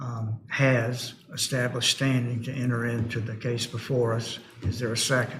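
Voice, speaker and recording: A man mumbling at a medium pitch and moderate pace, in a monotone, flat intonation, with noticeable background noise. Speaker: board chair. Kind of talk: public board hearing. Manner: quiet.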